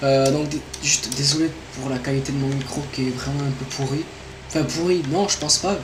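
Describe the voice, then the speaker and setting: A man's medium-pitched voice at a moderate pace, with ordinary pitch variation, audible room echo and noticeable background noise. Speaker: gaming YouTuber. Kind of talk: gameplay commentary, channel introduction. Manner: hesitant, many fillers.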